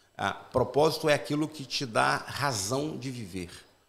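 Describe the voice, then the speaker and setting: A man with a Carioca accent and a medium-pitched voice. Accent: Carioca (Rio) accent, moderate. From Brazil, Rio de Janeiro metropolitan area. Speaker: pastor. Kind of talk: podcast interview, faith-based talk. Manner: talkative, long turns.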